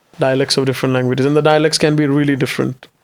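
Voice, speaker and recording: With a Marathi accent, a man speaks in a fairly high pitch using monotone, flat intonation. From India, Maharashtra (Mumbai region). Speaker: stand-up comedian. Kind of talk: casual interview chat.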